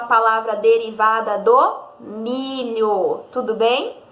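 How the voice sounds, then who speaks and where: With a fairly high pitch and a bright, sharp tone, a woman speaks amid audible room echo. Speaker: primary school teacher. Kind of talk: recorded lesson for children.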